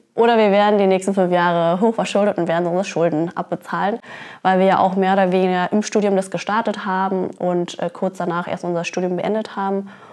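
Delivered at a very fast pace in a monotone, flat intonation, the speech sits over a quiet background. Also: woman. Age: 30s. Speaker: cannabis fair co-founder; guest. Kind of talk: interview. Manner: hesitant with fillers. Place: office. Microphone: lapel.

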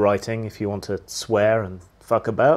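A man speaking at a moderate pace. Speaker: channel host. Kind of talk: casual vlog chat. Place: home room. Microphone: phone near.

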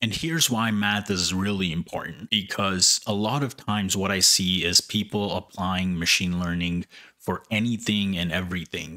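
A man with a very deep, low pitch and a bright, sharp tone speaks at a moderate pace with hardly any pauses and ordinary pitch variation, over a quiet background. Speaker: YouTube educator on machine learning. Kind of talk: opinionated rant to camera about why math matters. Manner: emphatic, insistent; conversational, repeatedly addressing viewers. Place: home room. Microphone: studio mic.

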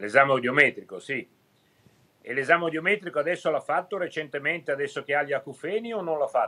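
Speaking very fast, a man uses a fairly high pitch with ordinary pitch variation. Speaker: ear, nose and throat doctor. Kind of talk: TV studio interview answer. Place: home room. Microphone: video call.

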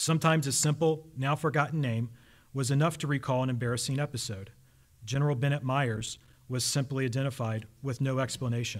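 A man talks at a fairly quick pace in a somewhat breathy voice. His intonation stays fairly even against a quiet background. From US South. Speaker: army officer and historian. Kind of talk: lecture. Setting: stage with audience. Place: hall. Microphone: podium.

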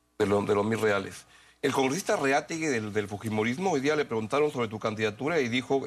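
A man's very fast speech at a medium pitch. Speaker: TV interviewer. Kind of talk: TV interview.

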